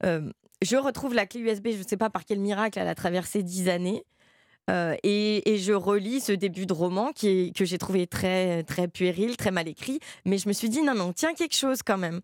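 A woman's unremarkable speaking voice at medium pitch and moderate pace, with ordinary pitch variation, recorded very cleanly against a silent background with a dry, close sound and no echo. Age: young. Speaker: novelist. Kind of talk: interview.

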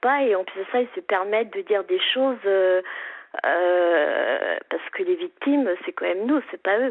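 This woman has a normal speaking voice, fairly high in pitch, and she talks at a fairly slow pace. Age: 50s. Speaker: caller with rare illness. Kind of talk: phone-in testimony.

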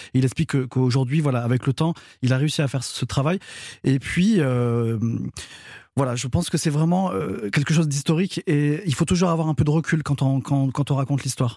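Pausing often and at length, a man speaks in a fairly high, somewhat breathy voice with a dark, mellow tone and very even loudness, captured in a very clean recording with a silent background. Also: ordinary pitch variation, fairly quick pace. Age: 30s. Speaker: guest commentator. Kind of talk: casual chat. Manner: halting.

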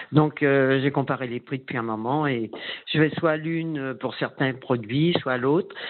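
A woman talks at a very deep, low pitch. Her intonation stays fairly even. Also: fairly slow pace. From northern France, Valenciennes area. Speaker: caller, payroll administrator. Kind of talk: radio call-in. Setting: phone call.

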